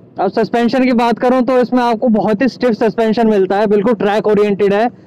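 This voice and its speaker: Very even loudness marks this man's delivery. He speaks at a high pitch with fairly even intonation. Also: moderate pace. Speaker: motorbike rider reviewer. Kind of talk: casual vlog chat. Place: motorbike.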